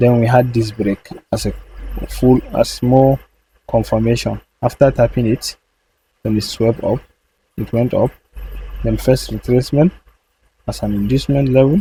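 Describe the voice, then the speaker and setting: A man with a non-native accent speaks at a moderate pace, leaving long, frequent pauses. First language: not English. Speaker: trading educator. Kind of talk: tutorial. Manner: halting.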